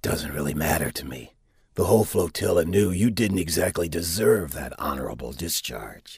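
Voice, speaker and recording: Putting on a character voice, a man speaks in a very deep, low pitch with lively intonation. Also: moderate pace. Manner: smug, snide, teasing.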